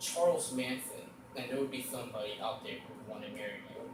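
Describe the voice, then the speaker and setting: Pitch swings very widely as a man talks fairly fast over noticeable background noise. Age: young. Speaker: amateur stand-up comedian. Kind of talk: stand-up comedy monologue. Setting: live audience at college.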